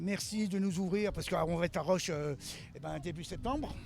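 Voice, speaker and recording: A man with a high-pitched voice and ordinary pitch variation talks at a moderate pace over music in the background. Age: 60s. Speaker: car mechanic and drift car builder. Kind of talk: on-site interview. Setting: outdoors at a motor event.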